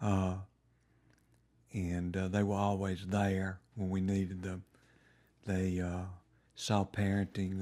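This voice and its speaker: A man with an Alabama accent, very deep and low in pitch, dark and mellow in tone, monotone and flat, on a very clean recording with a silent background. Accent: Southern US (Alabama). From US South, Montgomery, Alabama. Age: 70s. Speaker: retired lawyer. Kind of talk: oral history interview. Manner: hesitant, many fillers.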